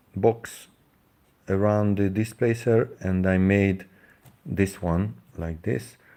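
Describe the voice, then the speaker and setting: In a very clean recording with a silent background, a man with a Hungarian accent speaks at a very slow pace, his dark, mellow tone fairly low in pitch with fairly even intonation. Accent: Hungarian accent, non-native English. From Hungary. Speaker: DIY engine builder, YouTuber. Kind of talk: live stream demonstration. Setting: live stream. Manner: halting, many fillers.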